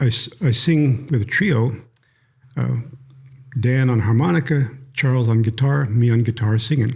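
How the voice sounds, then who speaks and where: A somewhat breathy man of medium pitch talks at a moderate pace with ordinary pitch variation and long, frequent pauses. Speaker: retired newspaper writer and church elder. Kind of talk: interview. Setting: conference room.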